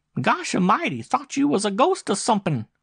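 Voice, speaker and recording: A man puts on a squeaky character voice, pitched high with very wide swings. He speaks at a fairly quick pace. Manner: startled, nervous.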